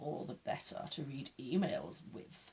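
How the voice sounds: Using a put-on character voice, the speaker talks at a middle pitch and a fairly slow pace.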